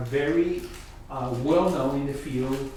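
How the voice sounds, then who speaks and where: A man with a Colombian accent and a fairly high pitch is heard through noticeable background noise and audible room echo. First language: Spanish. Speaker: concert pianist and professor. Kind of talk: talk at a music workshop. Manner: halting, repeats words.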